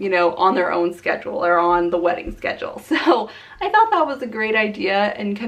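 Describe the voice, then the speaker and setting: A woman of medium pitch talks at a fairly quick pace over noticeable background noise. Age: 20s. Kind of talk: casual talk to camera.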